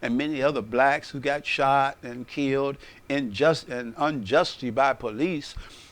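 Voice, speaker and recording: A man with an American accent keeps his intonation fairly even in a quiet background. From United States. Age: 60s. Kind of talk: unscripted personal monologue. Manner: conversational, with hesitations.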